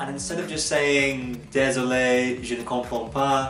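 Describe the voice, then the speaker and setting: Music plays in the background as a man with an English accent speaks at medium pitch, with audible room echo. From England. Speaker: travel vlogger. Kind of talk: casual monologue.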